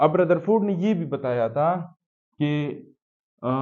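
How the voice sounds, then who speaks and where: Audible room echo is present. It surrounds a man's speech. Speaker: science teacher. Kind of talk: lecture. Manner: slow.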